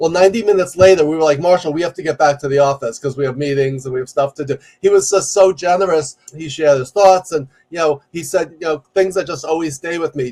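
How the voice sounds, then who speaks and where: A man with a New York accent talks at a fairly quick pace, his intonation fairly even, in a dry, close recording with no echo. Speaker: executive coach and professor. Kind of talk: podcast interview. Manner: loud; fast.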